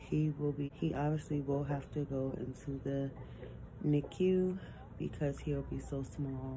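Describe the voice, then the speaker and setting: Amid noticeable background noise, a woman with a very deep, low pitch speaks at a very slow pace. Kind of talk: casual vlog chat. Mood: earnest, faithful, reassuring. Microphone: phone near.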